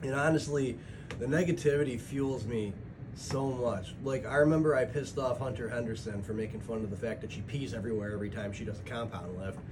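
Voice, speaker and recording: A man talks at a very fast pace with ordinary pitch variation. Music plays in the background, and there is audible room echo. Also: medium pitch for a man. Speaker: vlogger, truck driver and bodybuilder. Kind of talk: casual vlog monologue. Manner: rambling, halting with fillers.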